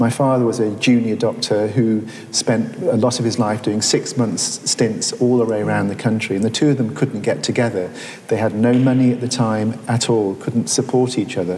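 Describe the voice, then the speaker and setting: A man with a Welsh accent speaks at a moderate pace and a medium pitch, with fairly even intonation and very even loudness, over noticeable background noise and audible room echo. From Wales, Carmarthenshire. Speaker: surgeon. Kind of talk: public conversation on stage. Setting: museum gallery with audience. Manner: halting, with many repetitions.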